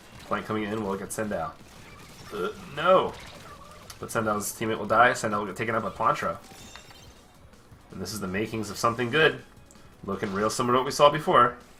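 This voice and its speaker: With music behind him, a man speaks very fast but with long, frequent pauses and ordinary pitch variation. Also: medium pitch for a man. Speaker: esports commentator. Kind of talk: live game play-by-play commentary. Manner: casual.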